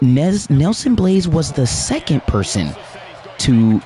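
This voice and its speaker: Over noticeable background noise, a man speaks at a very slow pace. His pitch swings very widely. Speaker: gaming livestream host. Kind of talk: casual livestream commentary.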